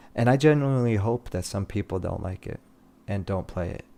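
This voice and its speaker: A man with a non-native accent and a dark, mellow tone, ordinary pitch variation and a moderate pace. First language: not English. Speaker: streamer. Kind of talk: casual livestream chat.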